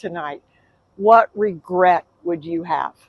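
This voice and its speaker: A woman's very slow speech, dry and close with no echo. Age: 70s. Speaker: professional organizer, productivity consultant. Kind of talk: inspirational talk to camera.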